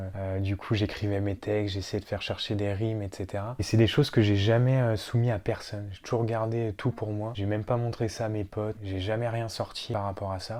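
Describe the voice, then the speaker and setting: A man speaks at a fairly quick pace with a fairly low pitch and a dark, mellow tone. His intonation stays flat and monotone on a very clean recording with a silent background. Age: 20s. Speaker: YouTuber. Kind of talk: personal vlog monologue. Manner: halting, many fillers.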